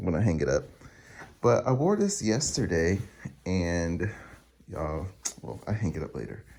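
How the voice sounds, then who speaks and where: A man's very deep, low voice with a dark, mellow tone, lively intonation and long, frequent pauses. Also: moderate pace. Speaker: new grad nurse vlogger. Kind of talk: casual vlog monologue. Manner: animated.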